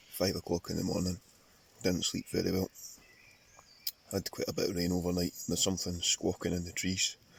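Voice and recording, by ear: A man uses a put-on character voice that is raspy, very deep and low-pitched, with a monotone, flat intonation. He talks at a fairly quick pace but leaves long, frequent pauses.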